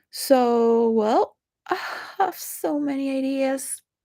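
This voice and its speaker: In a Spanish accent, a woman speaks with a dark, mellow tone. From Venezuela. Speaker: video blogger. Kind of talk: rambling monologue. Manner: halting.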